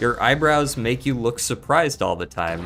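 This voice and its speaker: Music plays in the background as a man speaks at a medium pitch and moderate pace. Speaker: video game streamer. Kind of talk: casual live-stream chat. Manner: flat, not very expressive tone.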